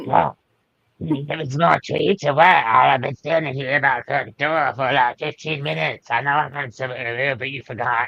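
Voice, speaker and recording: A put-on character voice delivers its lines in a grumpy tone. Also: man, medium pitch for a man, moderate pace. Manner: grumpy, complaining.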